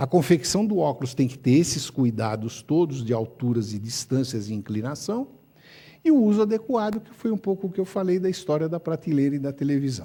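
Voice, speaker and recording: A man speaks at a fairly quick pace with a fairly high pitch and a dark, mellow, somewhat breathy tone. His pitch swings very widely and his loudness changes a lot. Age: 70s. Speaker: ophthalmologist. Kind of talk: lecture. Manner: animated.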